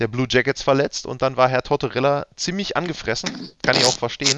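A man's fairly high voice at a very fast pace, dry and close with no echo. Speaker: sports podcast host. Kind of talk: casual chat.

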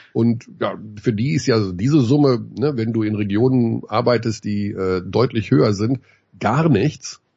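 A man speaks at a medium pitch, somewhat breathy. His pace is fairly slow and his pitch varies in an ordinary way. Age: 50s. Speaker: basketball commentator. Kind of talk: casual chat.

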